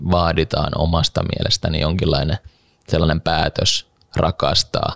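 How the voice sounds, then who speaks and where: A man speaks very slowly in a very deep, low voice with monotone, flat intonation. The sound is dry and close, with no echo. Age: 30s. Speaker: podcast co-host. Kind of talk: casual chat.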